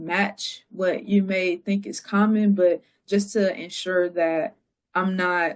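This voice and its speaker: A woman talks at a medium pitch in a Southern accent. Her intonation stays fairly even. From North Carolina. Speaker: radio journalist. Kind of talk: interview. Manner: casual, many fillers.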